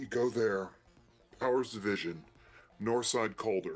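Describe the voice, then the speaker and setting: A man's put-on character voice at a medium pitch and a moderate pace, fairly even in intonation, with music in the background. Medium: actual play. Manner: terse.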